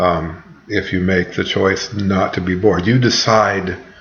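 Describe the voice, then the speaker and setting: A man speaks with very deep, low pitch and fairly even intonation, with noticeable background noise and audible room echo. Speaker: college writing instructor. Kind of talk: recorded lecture to students. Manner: rambling, filler words.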